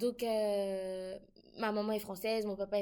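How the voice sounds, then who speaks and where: This woman speaks at a fairly high pitch. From Côte d'Ivoire. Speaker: international student. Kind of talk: casual chat.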